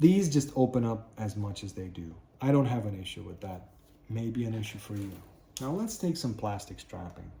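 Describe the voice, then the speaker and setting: With a non-native accent, a man talks at a moderate pace in a medium-pitched, somewhat breathy voice with a dark, mellow tone, lively intonation and big swings in loudness. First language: not English. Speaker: knife and tool reviewer. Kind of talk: product review tutorial. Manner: casual, with hesitations.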